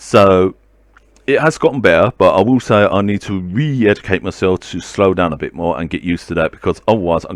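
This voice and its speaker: In a dry, close sound with no echo, a man with a very deep, low pitch speaks at a fairly quick pace with lively intonation. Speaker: video blogger talking about mental health. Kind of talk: casual monologue vlog. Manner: stumbles on words; fast.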